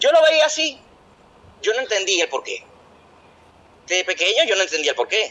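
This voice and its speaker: Long pauses break up the man's speech again and again. Between them he keeps a middling pace. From Venezuela. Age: 20s. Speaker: podcast co-host. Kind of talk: casual chat.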